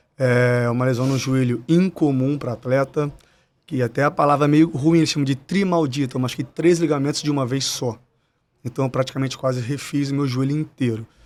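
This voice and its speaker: With a very clean recording and silent background, a man in a normal speaking voice talks at a fairly quick pace, his fairly high pitch following fairly even intonation. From Brazil, interior of Espírito Santo (Cachoeiro de Itapemirim). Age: 30s. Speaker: retired footballer turned football agent. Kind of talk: podcast interview.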